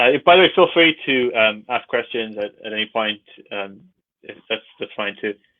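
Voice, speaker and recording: Lively intonation marks this man's speech. He talks at a moderate pace. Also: medium pitch for a man. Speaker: archaeobotanist researcher. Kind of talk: lecture. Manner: halting, many fillers.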